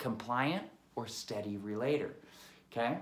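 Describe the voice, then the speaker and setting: This man talks at a fairly slow pace with ordinary pitch variation. Audible echo fills the room. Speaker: sales trainer. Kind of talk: tutorial. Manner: animated.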